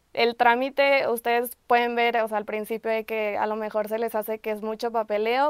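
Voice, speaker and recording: With a fairly high voice, a woman talks at a moderate pace with hardly any pauses, in a dry sound with no echo and a quiet background. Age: 20s. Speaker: architecture student. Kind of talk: testimony. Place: studio.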